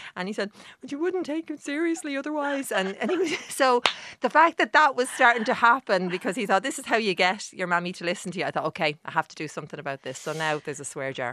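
Delivered at a very fast pace in an Irish accent, the voice has very wide pitch swings and big swings in loudness, with a dry, close sound and no echo. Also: woman, fairly high pitch for a woman. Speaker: journalist and author. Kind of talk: radio interview.

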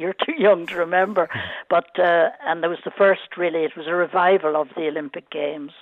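A woman with an Irish accent and fairly even intonation. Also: fairly low pitch for a woman, fairly quick pace. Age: 80s+. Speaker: former Olympian, caller. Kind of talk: casual chat. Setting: phone call.

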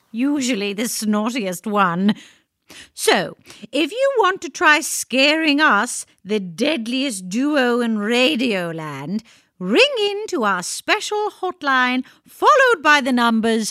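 A woman uses a playful, theatrical tone with a high pitch, very wide pitch swings and a bright, sharp sound at a very slow pace. The recording is very clean with a silent background and a dry, close sound with no echo. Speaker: comedic radio show co-host.

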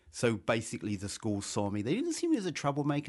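A man with an English accent against a quiet background. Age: 70s. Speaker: novelist. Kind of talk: radio interview. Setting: studio.

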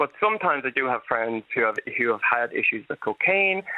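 The speaker talks at a moderate pace with an Irish accent. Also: man. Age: 30s. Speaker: health activist and PhD candidate. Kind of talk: radio interview. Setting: phone call.

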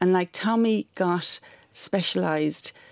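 With an Irish accent, this voice shows ordinary pitch variation over a quiet background, and the sound is dry and close with no echo. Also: woman. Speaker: charity director and parent. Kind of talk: radio interview. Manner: halting.

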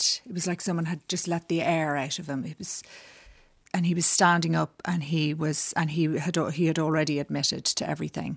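A woman speaks with a Dublin accent, her pitch very deep and low. The recording is very clean, with a silent background. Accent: Dublin Irish. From Dublin, Ireland. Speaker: designer. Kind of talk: interview. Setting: studio.

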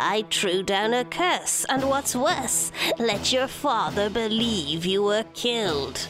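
A female-sounding voice puts on a character voice at a fairly high pitch, speaking at a fairly slow pace. Clear music plays in the background along with some hissing. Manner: venomous, gloating.

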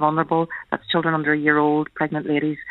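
Talking at a very fast pace, a woman has a very deep, low pitch. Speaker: family doctor. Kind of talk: radio interview. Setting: phone call.

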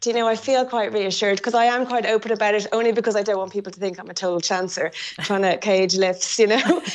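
A woman talks at a fast pace. Her intonation stays fairly even. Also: medium pitch for a woman.

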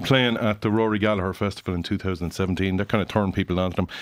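A man with an Irish accent, very fast pace. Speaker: music critic. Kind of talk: album review discussion. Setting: studio.

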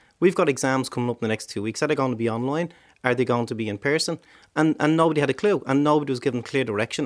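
A man in a Dublin accent speaks at a medium pitch with lively intonation. The recording is very clean, the background silent. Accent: Dublin Irish. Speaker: politician. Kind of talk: radio panel debate. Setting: studio.

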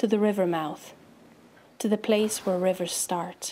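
At a fairly slow pace, the speech comes out in a dark, mellow tone. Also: woman. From Romania, Transylvania. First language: Romanian. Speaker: poet. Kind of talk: poetry reading.

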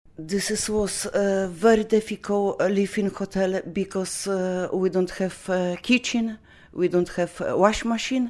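A woman with a Polish accent speaks at a medium pitch and a fairly slow pace. Her intonation stays fairly even. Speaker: Polish immigrant mother. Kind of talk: personal testimony interview. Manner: halting.

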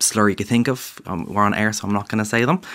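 On a very clean recording with a silent background, a man with an Irish accent speaks with fairly even intonation. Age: 20s. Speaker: graphic designer and illustrator. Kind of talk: interview. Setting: studio.

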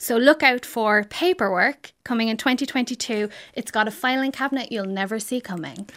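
With an Irish accent, a woman talks at a fairly quick pace with hardly any pauses. Her voice is fairly high with ordinary pitch variation, in a very clean recording with a silent background. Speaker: crime writer. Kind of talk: scripted reading; radio interview.

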